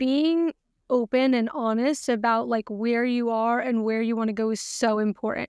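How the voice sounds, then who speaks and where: Holding very even loudness and fairly even intonation, a woman with a normal speaking voice talks at a fairly slow pace in a fairly high pitch. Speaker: financial coach. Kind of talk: casual interview.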